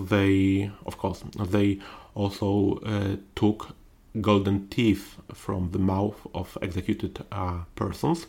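Very slow and fairly even, a man with a Polish accent speaks at a fairly low pitch in a dark, mellow tone. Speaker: historian. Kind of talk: interview. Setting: in-person studio. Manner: halting.

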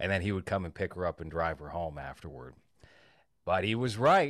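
The recording is very clean and the background silent. A man's very deep, low voice comes through with vocal fry. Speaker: podcast co-host. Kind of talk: casual chat.

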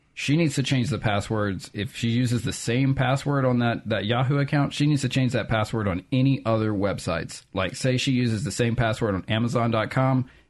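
Against a quiet background, a man with a Southern US accent speaks at medium pitch with ordinary pitch variation. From Hattiesburg, Mississippi. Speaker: tech expert. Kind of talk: casual chat. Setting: studio.

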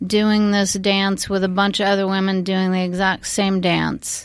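A woman speaks at medium pitch. The recording is very clean, with a silent background. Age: 50s. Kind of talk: casual chat. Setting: studio.

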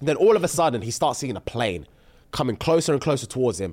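Vocal fry at a fairly quick pace. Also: man. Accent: London. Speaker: podcast host. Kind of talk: casual chat. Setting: studio.

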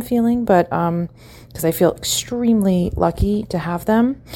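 Lively intonation marks this woman's plain, everyday voice, which keeps to a moderate pace. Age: 30s. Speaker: caller. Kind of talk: voicemail.

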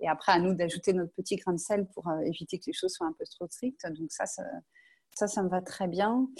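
A woman with a medium pitch and a somewhat breathy voice talks at a moderate pace with normal pitch variation, in a dry, close recording with no echo. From western France (Angers). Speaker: astronaut candidate. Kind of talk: interview. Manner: hesitant, many fillers.

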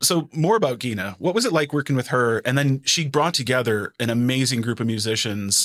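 At a moderate pace, a man with an ordinary speaking voice talks. His pitch is medium, with ordinary pitch variation. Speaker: podcast host. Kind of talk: interview conversation.

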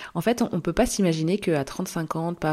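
On a very clean recording with a silent background, a woman speaks fairly slowly in a fairly low pitch with ordinary pitch variation. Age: 30s. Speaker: podcast host. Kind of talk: solo monologue podcast.

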